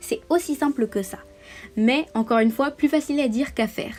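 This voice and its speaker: Her pitch varies in an ordinary way. The woman talks fairly quickly. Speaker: vlogger. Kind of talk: advice monologue. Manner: fast; hesitant fillers.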